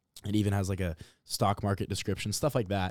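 In an American accent, a man with a fairly low voice speaks at a very fast pace on a very clean recording with a silent background and a dry, close sound with no echo. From Nebraska, Omaha. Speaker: program director of a youth civics program. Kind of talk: podcast interview.

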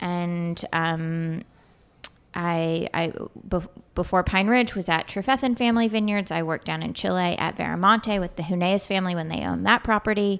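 In an American accent, a woman with a normal speaking voice and a fairly low pitch talks at a moderate pace with ordinary pitch variation. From California. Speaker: winemaker at a wine company. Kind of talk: casual interview. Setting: conference room, in person.

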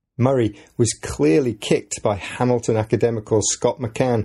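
A man talks at a moderate pace with an English accent and a medium pitch. His tone is dark and mellow, with ordinary pitch variation. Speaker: podcast host and English teacher. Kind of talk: scripted educational podcast narration. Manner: clear, measured for learners.

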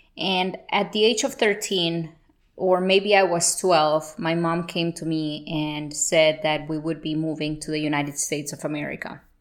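A woman with a Spanish accent speaks at a moderate pace with fairly even intonation. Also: fairly low pitch for a woman. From Colombia (Bogota). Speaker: podcast host. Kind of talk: motivational monologue.

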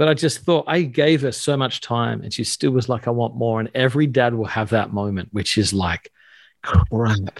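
A man at a moderate pace and medium pitch with ordinary pitch variation and an ordinary speaking voice, on a very clean recording with a silent background and a dry, close sound with no echo. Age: 40s. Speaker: pastor and author. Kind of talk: casual interview.

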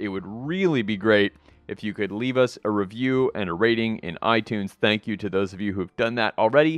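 A man speaks at a medium pitch with a normal speaking voice. His pace is moderate and his pitch varies in an ordinary way. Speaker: podcast host. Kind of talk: podcast intro and outro.

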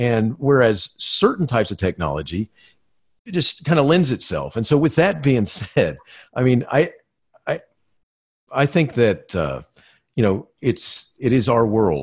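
Over a silent background in a very clean recording, a man at medium pitch speaks at a fairly slow pace with vocal fry, very wide pitch swings, and long, frequent pauses. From Florida. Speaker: school administrator. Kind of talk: interview.

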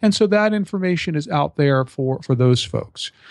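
At a fairly slow pace, a man talks with lively intonation in a dry, close sound with no echo. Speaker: personal injury lawyer and podcaster. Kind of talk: casual interview. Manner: hesitant, filler words.

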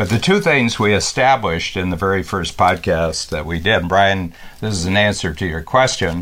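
Noticeable background noise sits behind a man speaking at a moderate pace. His pitch is very deep and low. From rural North America, small town farm. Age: 70s. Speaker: company founder and podcaster. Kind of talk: casual conversational talk. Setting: Facebook Live broadcast.

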